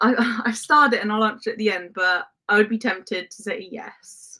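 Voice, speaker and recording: Her tone is bright and sharp, with a fairly high pitch. The woman speaks at a moderate pace with ordinary pitch variation. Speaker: football content creator. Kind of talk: live stream chat reading comments.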